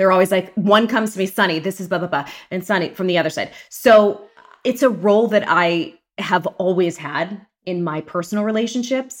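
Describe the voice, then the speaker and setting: A woman speaks at a medium pitch and fairly quick pace, an ordinary speaking voice with ordinary pitch variation. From Pittsburgh, Pennsylvania. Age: 40s. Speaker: journalist and podcast host. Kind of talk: casual interview chat.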